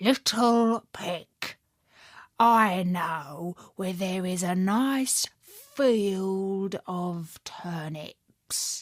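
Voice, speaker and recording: Using a put-on character voice at a medium pitch, a woman speaks at a very slow pace on a very clean recording with a silent background. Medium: read story. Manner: sly.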